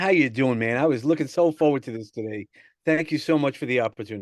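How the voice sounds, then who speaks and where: Lively intonation rides a very fast pace in a New York accent. The background is quiet. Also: man. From New York City (Brooklyn, Sheepshead Bay). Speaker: personal growth coach. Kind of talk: podcast interview. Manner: hesitant, many fillers and repeats.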